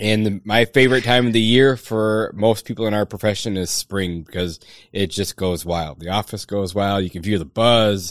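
An unremarkable speaking voice, this man's is fairly low in pitch, with an American accent, ordinary pitch variation and a moderate pace, on a very clean recording with a silent background. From Michigan, Upper Peninsula. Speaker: pest control company owner. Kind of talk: podcast interview.

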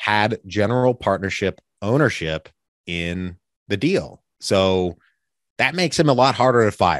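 Speaking fairly slowly in a normal speaking voice, a man with a fairly low pitch uses lively intonation, the sound dry and close with no echo against a quiet background. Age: 30s. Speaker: real estate investor and podcast host. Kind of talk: casual interview.

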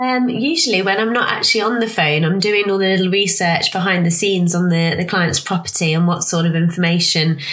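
Over noticeable background noise, a woman talks fairly quickly at a fairly low pitch, her loudness very even and her pitch variation ordinary. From Leicestershire, England. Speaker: pond design consultant. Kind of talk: casual interview chat.

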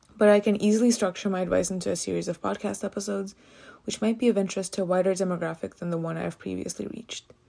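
A woman speaks at a medium pitch with an American accent. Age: 20s. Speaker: economics PhD student, podcaster. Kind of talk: solo monologue, partly scripted.

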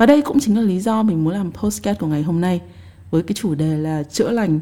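This woman's tone is dark and mellow. She talks at a fairly quick pace with lively intonation. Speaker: podcast host. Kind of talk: personal reflective monologue.

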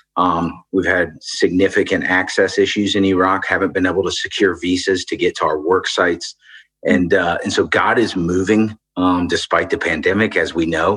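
A man's moderately paced speech over a quiet background. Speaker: aid organization country director. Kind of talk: interview conversation.

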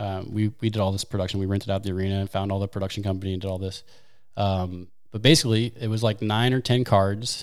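A man with an American accent talks very fast in a fairly low pitch with fairly even intonation. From US Midwest, St. Louis, Missouri. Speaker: wakeskater and league organizer. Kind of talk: casual chat.

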